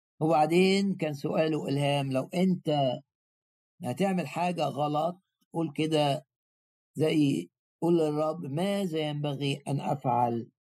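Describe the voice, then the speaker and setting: Speaking at a very slow pace, this man has a dark, mellow tone, a fairly high pitch and fairly even intonation. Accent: Egyptian. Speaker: preacher. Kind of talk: sermon.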